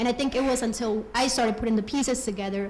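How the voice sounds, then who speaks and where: A woman with a Colombian accent speaks very fast at a fairly high pitch, her pitch varying in an ordinary way, with audible room echo. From Colombia, raised in US. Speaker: program alumna giving tribute. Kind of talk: personal testimony speech.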